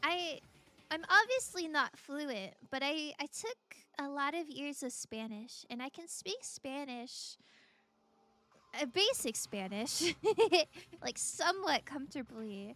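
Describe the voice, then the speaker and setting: A woman with an American accent speaks in a raised, projected voice at a very slow pace, pausing long and often, her high pitch carrying lively intonation and big swings in loudness. Her tone is bright and sharp, and the recording is very clean with a silent background. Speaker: streamer. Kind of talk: casual chat while gaming on stream. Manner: chatty, friendly.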